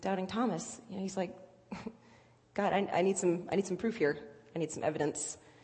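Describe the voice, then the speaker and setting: This woman has a medium pitch, a somewhat breathy voice and an American accent. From Virginia Beach, Virginia. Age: 20s. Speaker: church member sharing testimony. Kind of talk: testimony. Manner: halting, many fillers.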